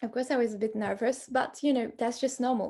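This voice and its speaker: A woman speaks at a fairly quick pace and high pitch, dark and mellow in tone. The background is quiet. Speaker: hypnotherapy coach. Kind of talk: live webinar. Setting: online webinar.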